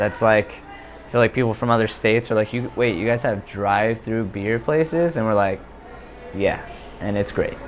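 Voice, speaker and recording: Music plays behind a man with an American accent who speaks at a moderate pace and medium pitch, with ordinary pitch variation and long, frequent pauses. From West Virginia, Ohio Valley. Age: 20s. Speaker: stand-up comedian. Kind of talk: casual interview. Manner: hesitant, many fillers.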